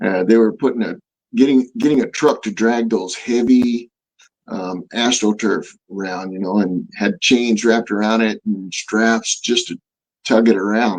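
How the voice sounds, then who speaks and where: A man speaks in a normal speaking voice at medium pitch, with fairly even intonation and a fairly slow pace. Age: 60s. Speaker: martial artist. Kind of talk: interview answer.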